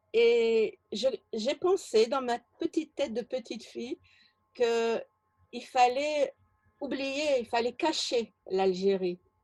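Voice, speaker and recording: In a dry, close sound with no echo, a woman speaks at a very slow pace with long, frequent pauses, using a high pitch and lively intonation. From France, childhood in French Algeria. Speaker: interview guest. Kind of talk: interview. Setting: video call. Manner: halting.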